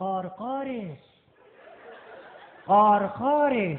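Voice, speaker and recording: A high-pitched put-on character voice from a man. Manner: cawing, mimicking.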